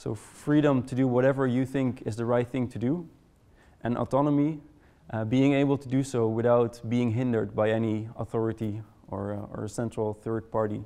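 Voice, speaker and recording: A man with a Dutch accent, medium in pitch, with a dark, mellow tone, at a moderate pace with fairly even intonation. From Netherlands. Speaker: conference presenter. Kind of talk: presentation to a live audience. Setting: room with live audience. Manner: hesitant, many fillers and repetitions.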